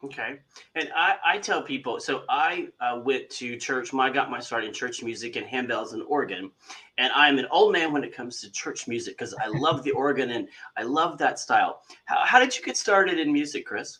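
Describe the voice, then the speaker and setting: A man with a Kentucky accent talks with big swings in loudness. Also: moderate pace. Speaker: magazine interviewer. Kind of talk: interview.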